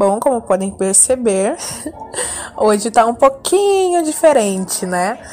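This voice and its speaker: A woman's fairly high voice with very wide pitch swings at a very slow pace, music playing in the background. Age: 20s. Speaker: podcast host. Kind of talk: casual chat.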